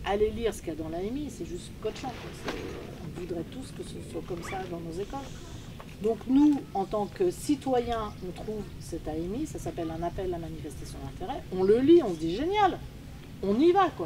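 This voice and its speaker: Lively intonation at a moderate pace, with big swings in loudness, audible room echo and noticeable background noise. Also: woman, medium pitch for a woman. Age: 60s. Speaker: teacher and school founder. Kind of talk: conference talk. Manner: casual, animated.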